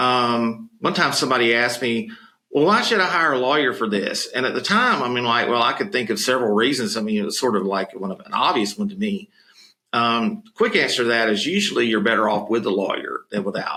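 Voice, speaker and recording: Speaking fairly quickly in a Southern US accent, a man uses lively intonation at a medium pitch. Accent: noticeable Southern. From US South, Florida Panhandle. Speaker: podcast co-host, home care business advisor. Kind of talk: casual chat. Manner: conversational with frequent fillers.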